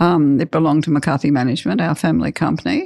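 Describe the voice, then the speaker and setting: A woman talks at a very fast pace with lively intonation. Vocal fry runs through her voice. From rural Australia. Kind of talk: interview.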